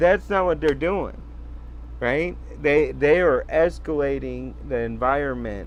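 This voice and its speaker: Someone talks at a moderate pace with audible room echo. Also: man. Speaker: sovereign-citizen commentator. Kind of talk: reading aloud with commentary. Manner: halting, stumbles on words.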